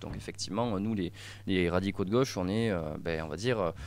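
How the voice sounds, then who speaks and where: In a very clean recording with a silent background, a man speaks fairly quickly at a fairly low pitch with ordinary pitch variation. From southwest France, Gers. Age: 20s. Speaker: young party official. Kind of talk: radio interview. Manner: halting, many fillers.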